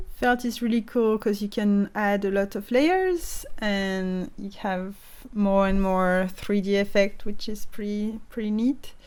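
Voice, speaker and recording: A woman with a French accent speaks fairly slowly at a medium pitch, her intonation fairly even. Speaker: stop motion animator. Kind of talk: casual craft tutorial to camera.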